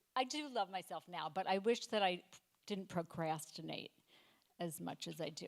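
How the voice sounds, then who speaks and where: A normal speaking voice from a woman, fairly low in pitch and fairly slow. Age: 60s. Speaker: stand-up comedian. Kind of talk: stand-up. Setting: stage with audience.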